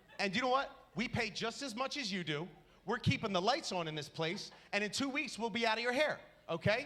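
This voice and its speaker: Raising and projecting his voice, a man speaks at a fairly quick pace with an animated, bright, sharp tone and lively intonation. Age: 30s. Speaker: stand-up comedian. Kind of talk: stand-up. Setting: stage with audience.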